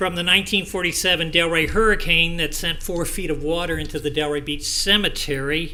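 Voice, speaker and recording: A man with an American accent speaks at a high pitch and a fairly quick pace, with fairly even intonation. Noticeable background noise and audible room echo are present. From US South. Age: 70s. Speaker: public commenter. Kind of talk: public comment at hearing. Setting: public meeting.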